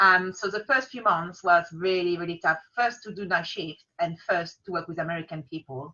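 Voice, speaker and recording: Speaking with a French accent, a woman keeps a moderate pace and a medium pitch with ordinary pitch variation. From France, Paris. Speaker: freelance business support provider. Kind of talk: casual interview.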